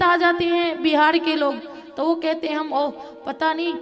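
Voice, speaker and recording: In a Bihar accent, a woman speaks at an extremely high pitch with fairly even intonation, with audible room echo and music in the background. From Mithila region, Bihar. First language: Maithili (speaking Hindi). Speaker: religious storyteller. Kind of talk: religious discourse.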